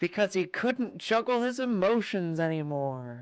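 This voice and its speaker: Someone bellows in a put-on character voice at a middle pitch. The background stays quiet. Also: moderate pace. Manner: eerie.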